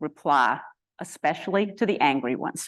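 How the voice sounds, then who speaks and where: A woman with an unremarkable speaking voice talks at a moderate pace with lively intonation. The background is quiet. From US South. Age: 60s. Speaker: activist and alumna speaker. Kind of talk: prepared talk. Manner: formal.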